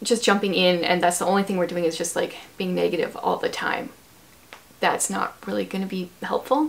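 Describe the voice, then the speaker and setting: A woman with a Canadian accent talks at a fairly quick pace, with a medium pitch and ordinary pitch variation. Noticeable background noise can be heard. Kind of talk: casual chat. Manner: fast.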